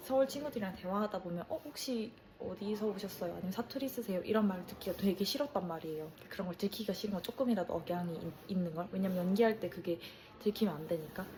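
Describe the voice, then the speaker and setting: Very fast, a woman speaks at a medium pitch with ordinary pitch variation. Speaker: travel vlogger. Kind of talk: casual vlog reflection.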